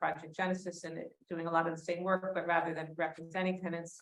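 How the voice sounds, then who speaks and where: Her pitch is fairly low, and her intonation stays monotone and flat. The woman talks at a fairly quick pace. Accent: New York. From US Northeast, New York City. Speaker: community legal advocate, former housing lawyer. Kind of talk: panel discussion.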